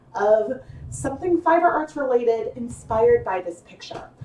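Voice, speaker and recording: Against noticeable background noise, a woman with a high pitch talks at a moderate pace with very wide pitch swings. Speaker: fiber arts livestream host. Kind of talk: live tutorial. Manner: casual, chatty with fillers.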